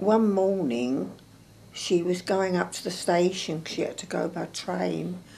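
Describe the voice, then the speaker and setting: A woman speaks very slowly at a fairly low pitch. Her pitch varies in an ordinary way. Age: 80s+. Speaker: World War Two home front witness. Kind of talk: interview answer.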